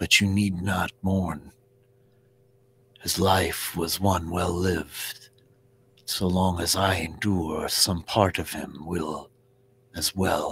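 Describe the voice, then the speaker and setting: A put-on character voice, flat and monotone, at a very slow pace with long, frequent pauses. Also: man, very deep, low pitch for a man. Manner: calm, solemn, formal.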